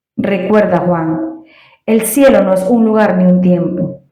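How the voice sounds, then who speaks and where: The voice is somewhat breathy, with a dark, mellow tone. It moves at a very slow pace with ordinary pitch variation. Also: woman. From Venezuela. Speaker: Spanish teacher. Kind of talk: read story. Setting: home recording with new microphone.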